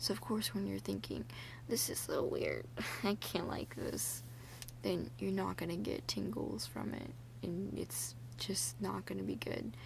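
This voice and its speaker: Soft-spoken and relaxed in tone, the voice moves at a fairly slow pace. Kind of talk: soft-spoken ASMR ramble talking to camera. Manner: soft-spoken, relaxed.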